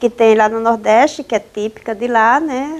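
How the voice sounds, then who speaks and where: A woman with a Paraíba accent talks at a fairly slow pace, her high pitch showing ordinary variation. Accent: northeastern Brazilian (Paraíba), unchanged. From Northeast Brazil, Paraíba. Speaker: journalist and author. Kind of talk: interview.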